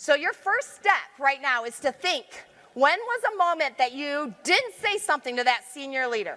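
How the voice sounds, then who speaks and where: Raised and projected, a woman's animated voice with an American accent sits at a high pitch with very wide pitch swings and a moderate pace. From Michigan, US. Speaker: leadership consultant and conference speaker. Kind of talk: conference talk. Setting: stage with audience. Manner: loud.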